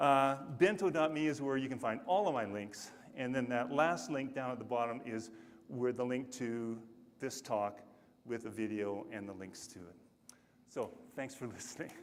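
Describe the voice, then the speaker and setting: A man with a medium-pitched voice talks at a moderate pace, with ordinary pitch variation and big swings in loudness. Room echo can be heard. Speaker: conference speaker. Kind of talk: conference talk. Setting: stage with audience.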